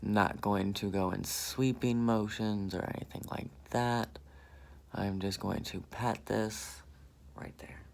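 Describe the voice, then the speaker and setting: Whispering at a very slow pace, a man speaks with an American accent. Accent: southern accent, comes out now and then. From US South. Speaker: beauty vlogger. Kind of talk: makeup tutorial. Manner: animated.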